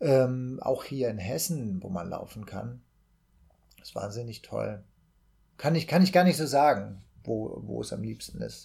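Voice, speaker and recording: The voice has a dark, mellow tone, somewhat breathy, at a fairly slow pace with long, frequent pauses. Its pitch swings very widely and its loudness shifts a lot. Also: man, medium pitch for a man. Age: 40s. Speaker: actor and amateur runner. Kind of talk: casual podcast chat.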